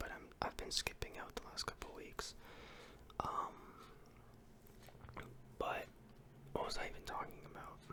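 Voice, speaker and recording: Someone whispers at a moderate pace. Noticeable background noise can be heard. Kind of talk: ASMR whispered ramble about his day. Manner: whispered, soft-spoken.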